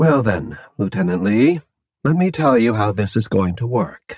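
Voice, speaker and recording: Speaking at a fairly slow pace, a man uses a medium pitch with very wide pitch swings and vocal fry. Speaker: audiobook narrator. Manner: calm, measured, formal, politely threatening in the interrogator's lines.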